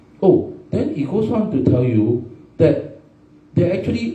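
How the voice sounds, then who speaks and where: At a moderate pace, the voice makes very wide pitch swings amid audible room echo and noticeable background noise. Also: man. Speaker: forum moderator. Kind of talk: panel discussion. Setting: live stream. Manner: animated.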